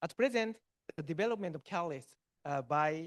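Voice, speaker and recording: Speaking at a moderate pace with ordinary pitch variation, a man with a Japanese accent sounds dry and close with no echo. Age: 60s. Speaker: chemistry professor. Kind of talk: Q&A answer at academic seminar. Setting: hybrid auditorium and Zoom seminar. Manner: halting, many fillers.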